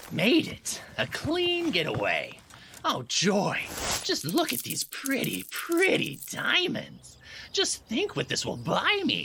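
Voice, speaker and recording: Using a put-on character voice, a man pitches it extremely high. He speaks at a fairly slow pace. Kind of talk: 1940s comic radio acting. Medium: audio drama. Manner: whiny, wisecracking.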